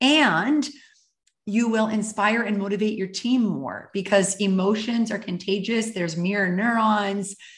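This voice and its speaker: A woman speaks at a fairly slow pace and medium pitch. Her voice is somewhat breathy. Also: ordinary pitch variation. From Canada (Calgary, Alberta). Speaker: author and happiness coach. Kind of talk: interview.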